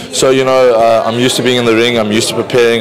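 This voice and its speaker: A man at medium pitch talks at a very fast pace in a monotone, flat delivery. Noticeable background noise runs underneath. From South Africa. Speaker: professional boxer. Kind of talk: interview. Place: hall. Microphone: handheld.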